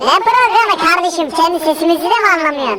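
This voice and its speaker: A man puts on a robotic character voice at an extremely high pitch. He talks fairly quickly. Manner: joking, trolling.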